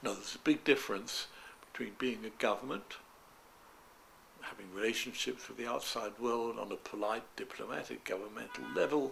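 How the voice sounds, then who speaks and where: With music in the background, a man talks at a moderate pace, his loudness swinging widely. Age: 90s. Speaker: retired doctor. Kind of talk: interview. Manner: halting, repeats words.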